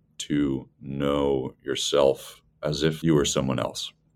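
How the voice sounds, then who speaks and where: Speaking very slowly, someone talks with an American accent. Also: man. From US Northeast, rural central Massachusetts. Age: 20s. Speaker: startup founder. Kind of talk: interview.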